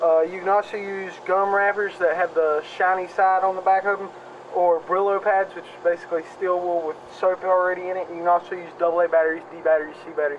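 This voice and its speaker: A man talks very fast in a high, flat monotone. His loudness swings widely, and there is noticeable background noise. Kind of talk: casual outdoor demonstration to camera. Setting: outdoors.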